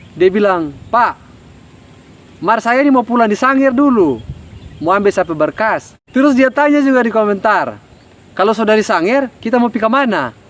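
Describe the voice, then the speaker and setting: A man with a North Maluku accent, high pitch and lively intonation, very even loudness and long, frequent pauses. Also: moderate pace. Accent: Ternate Malay dialect. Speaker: job application advice vlogger. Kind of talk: casual talk to camera.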